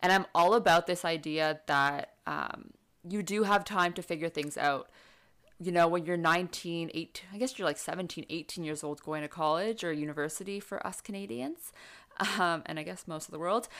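A woman with a plain, everyday voice, fairly low in pitch with ordinary pitch variation, on a very clean recording with a silent background. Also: moderate pace. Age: 20s. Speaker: podcast host. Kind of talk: casual chat.

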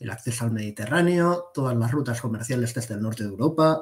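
This man's medium-pitched, somewhat breathy voice has ordinary pitch variation. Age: 30s. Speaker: defense magazine editor. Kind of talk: interview.

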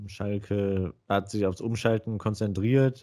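Recorded very cleanly with a silent background, the voice carries a dark, mellow tone. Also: man. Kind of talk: casual chat.

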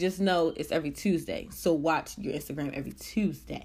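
Her voice very deep and low with vocal fry, a woman talks at a fairly quick pace with ordinary pitch variation. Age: 20s. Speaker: podcast host. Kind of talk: casual solo monologue. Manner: animated.

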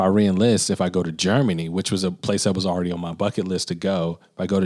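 A man's very deep, low voice with an American accent at a fairly quick pace, on a very clean recording with a silent background. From US South, Birmingham, Alabama. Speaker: podcast co-host, musician. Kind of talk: casual chat.

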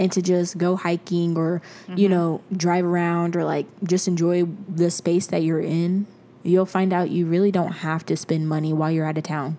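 At a moderate pace, a woman speaks in a fairly low pitch with a dark, mellow tone and monotone, flat intonation. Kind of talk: casual chat.

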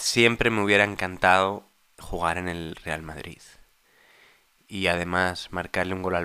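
In a very clean recording with a silent background, a man with a very deep, low pitch speaks at a fairly slow pace in a monotone, flat intonation. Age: 30s. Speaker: husband of the host, interviewee. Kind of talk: casual chat.

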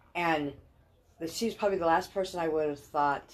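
With an American accent, a woman speaks at a moderate pace. Her pitch is fairly low, with ordinary variation. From California, raised by Texan parents. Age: 60s. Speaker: podcast guest, parent of a former guest. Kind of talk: casual chat.

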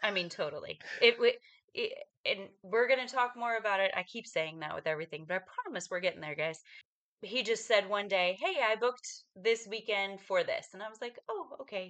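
Her fairly high voice full of lively intonation and big swings in loudness, a woman talks at a fairly quick pace. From western United States. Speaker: podcast co-host. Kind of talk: casual chat.

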